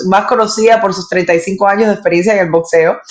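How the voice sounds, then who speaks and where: A woman with a medium-pitched voice talks at a fairly quick pace. Noticeable background noise sits behind her. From Cuba, Havana. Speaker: sports presenter and interviewer. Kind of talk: interview storytelling.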